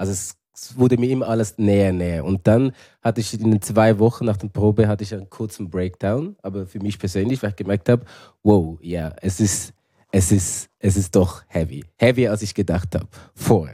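With a Zurich accent, a man speaks at a moderate pace with a fairly low pitch, ordinary pitch variation, a dark, mellow tone and big swings in loudness on a very clean recording with a silent background. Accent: Zurich Swiss German. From Switzerland, Zurich. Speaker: actor. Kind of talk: casual chat.

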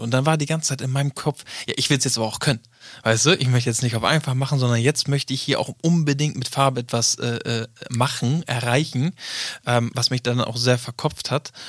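At a fairly quick pace, a man with a normal speaking voice and medium pitch talks with fairly even intonation. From northern Germany. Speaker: podcast co-host. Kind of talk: casual chat.

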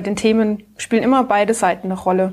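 A woman's medium-pitched, monotone, flat delivery at a fairly quick pace. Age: 30s. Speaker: speech therapist and founder. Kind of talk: casual interview.

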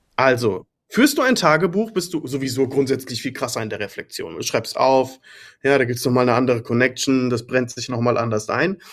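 With a plain, everyday voice, a man speaks at a fairly quick pace and medium pitch, with ordinary pitch variation. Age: 30s. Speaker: agency owner and business consultant. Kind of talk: casual chat.

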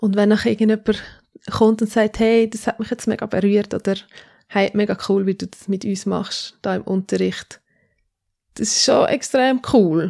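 A woman with a medium pitch speaks at a moderate pace, her intonation fairly even, leaving long, frequent pauses. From Switzerland, Zürcher Oberland. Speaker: pastor. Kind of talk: casual interview.

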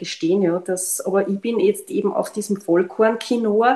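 Here a woman speaks in a normal speaking voice at medium pitch. Her pace is moderate and her pitch variation ordinary. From Austria, Linz. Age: 50s. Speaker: biomedical analyst and gluten-free baker. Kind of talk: casual chat.

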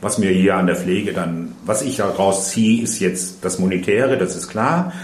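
A man at a fairly low pitch with ordinary pitch variation and a moderate pace, amid noticeable background noise and audible room echo. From Ruhr area, Germany. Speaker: retired nurse. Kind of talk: interview.

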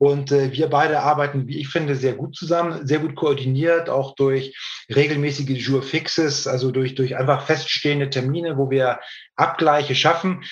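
A man's somewhat breathy voice, monotone and flat in intonation, at a moderate pace. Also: fairly high pitch for a man. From northern Germany, Hamburg. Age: 40s. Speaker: hearing aid company sales director. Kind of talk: interview.

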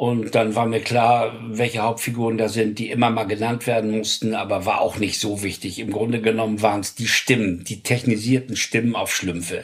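At a moderate pace and with hardly any pauses, a man speaks at medium pitch in a monotone, flat way. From Hamburg, northern Germany. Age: 70s. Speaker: music producer. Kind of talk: interview storytelling.

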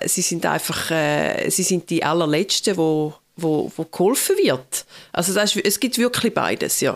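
This woman has an ordinary speaking voice, with a medium pitch, ordinary pitch variation and a moderate pace. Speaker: pastor. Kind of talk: casual chat. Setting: remote call.

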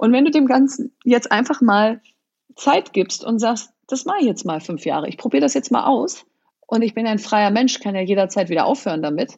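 A fairly high-pitched, somewhat breathy woman's voice at a moderate pace, with very wide pitch swings. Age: 40s. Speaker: entrepreneur and author. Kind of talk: interview.

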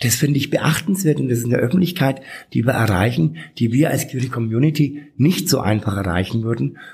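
A man's medium-pitched voice with vocal fry, lively intonation, very even loudness and a fairly quick pace. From Franconia, Bad Windsheim. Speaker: drag queen and city councillor. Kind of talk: interview.

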